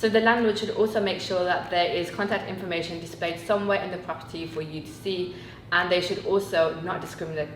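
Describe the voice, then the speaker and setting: Amid noticeable background noise and audible room echo, a woman speaks at a very fast pace with fairly even intonation. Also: medium pitch for a woman. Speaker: student union co-host. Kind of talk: casual chat.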